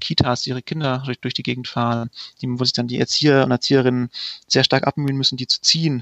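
A man at a very fast pace. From Allgäu, southern Germany. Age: 30s. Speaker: startup founder. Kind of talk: sales pitch.

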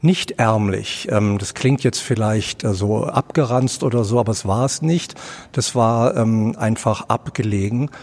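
A man talks at a very slow pace, with medium pitch and ordinary pitch variation. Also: very even loudness. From Berlin (Charlottenburg-Wilmersdorf area). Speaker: author and director. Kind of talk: interview. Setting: theatre foyer.

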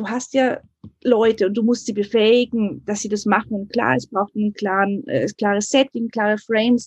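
Somewhat breathy and set at a moderate pace, this voice keeps fairly even intonation, with a dry, close sound and no echo. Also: woman, fairly high pitch for a woman. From Munich, Germany. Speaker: editor-in-chief. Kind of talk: interview.

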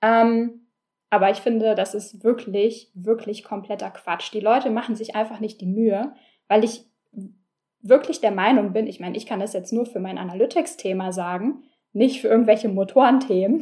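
With big swings in loudness, a woman talks at a moderate pace in a dark, mellow tone and a fairly high pitch. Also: ordinary pitch variation. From Berlin, Germany. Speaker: podcast host, analytics consultant. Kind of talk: solo podcast monologue. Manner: casual, many filler sounds.

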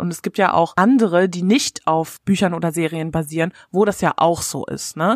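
Heard in a dry, close sound with no echo, a woman with an unremarkable speaking voice and a fairly low pitch talks at a moderate pace with fairly even intonation and hardly any pauses. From Germany. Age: 20s. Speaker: live-action role-player. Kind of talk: casual chat.

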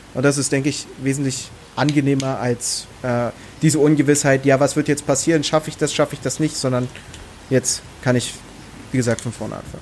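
A man's fairly high voice in a Berlin accent, fairly quick and monotone with flat intonation, over noticeable background noise. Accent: Berlin dialect, grown stronger over time. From Brandenburg, Germany. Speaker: professional darts player. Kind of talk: casual chat.

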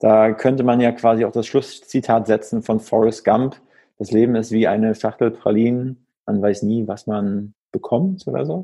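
A man with a normal speaking voice talks in a medium pitch, his pitch varying in an ordinary way at a moderate pace. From northern German coast. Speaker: podcast host. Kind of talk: casual interview.

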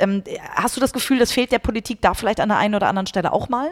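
Noticeable background noise sits under this recording. A woman talks at a very fast pace with a fairly high pitch. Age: 30s. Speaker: podcast host and company CEO. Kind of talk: interview.

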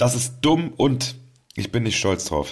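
A man's very slow delivery, with lively intonation and vocal fry. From Cologne, Germany. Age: 40s. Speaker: band member and podcast host. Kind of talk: casual chat. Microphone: new high-quality microphone.

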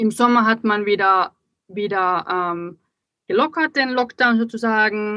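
A woman with a fairly high pitch talks at a fairly slow pace, using ordinary pitch variation, very even loudness and long, frequent pauses. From Finland. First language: Finnish (German as second mother tongue) (speaking German). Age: 30s. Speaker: magazine publisher. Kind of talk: casual interview chat. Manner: hesitant, many fillers.

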